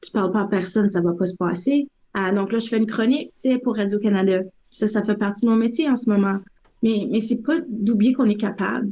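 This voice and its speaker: A fairly high-pitched, somewhat breathy woman at a fairly quick pace, with ordinary pitch variation. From northern Ontario, West Nipissing. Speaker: graffiti artist. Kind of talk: podcast interview. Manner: animated.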